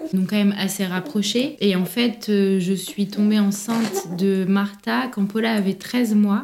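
Noticeable background noise sits under the recording. A woman's speech comes at a fairly slow pace. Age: 20s. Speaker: prenatal yoga business founder. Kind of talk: personal testimony in casual interview.

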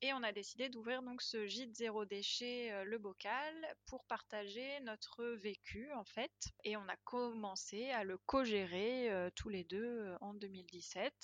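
This woman talks at a very slow pace with a fairly high pitch and ordinary pitch variation. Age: 20s. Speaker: zero-waste guesthouse owner. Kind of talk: testimony.

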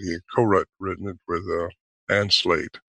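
With an American accent, a man uses an ordinary speaking voice at a fairly low pitch and a fairly quick pace. The sound is dry and close with no echo, over a quiet background. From United States. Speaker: Bigfoot researcher and author. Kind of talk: interview.

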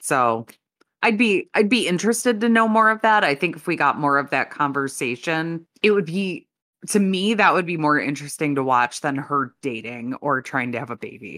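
Speaking at a moderate pace in an American accent, a woman uses a very deep, low pitch with very wide pitch swings and a bright, sharp tone. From Chicago area. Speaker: podcast co-host. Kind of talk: casual chat.

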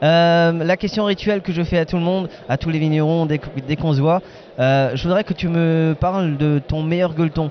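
Keeping his loudness very even, a man speaks at a moderate pace with fairly even intonation and a fairly high pitch. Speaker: podcast host. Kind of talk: casual interviews at a wine fair. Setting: outdoors at a wine festival. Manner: hesitant, many fillers.

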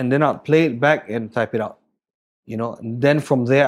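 A man with a Singaporean accent, medium pitch and fairly even intonation. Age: 30s. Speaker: chef and restaurant owner. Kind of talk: casual interview conversation. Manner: casual, hesitant, profane.

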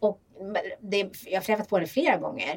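The woman speaking has a medium pitch. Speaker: podcast host. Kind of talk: casual chat.

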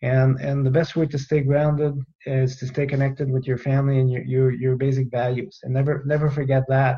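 Here a man speaks with a French Canadian accent at a fairly quick pace, in a medium pitch. His tone is dark and mellow, somewhat breathy, with monotone, flat intonation. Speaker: retired air force general. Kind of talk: interview.

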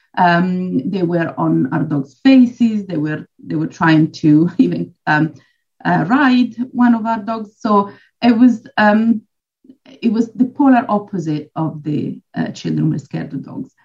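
A woman talks fairly slowly in a somewhat breathy, medium-pitched voice with very wide pitch swings. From Switzerland. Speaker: dog trainer and behaviourist. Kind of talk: casual interview chat.

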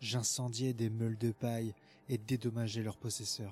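Music plays in the background as a man speaks at medium pitch with monotone, flat intonation. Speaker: intro announcer and reader of quoted passages. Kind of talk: scripted reading of quotes.

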